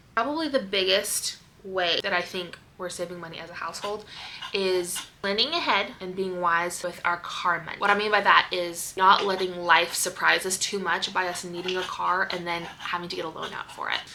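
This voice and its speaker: A woman with an American accent at a medium pitch and moderate pace, fairly even in intonation, big swings in loudness, and noticeable background noise. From US Pacific Northwest, Seattle. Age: 30s. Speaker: stay-at-home mom vlogger. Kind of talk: casual vlog talk.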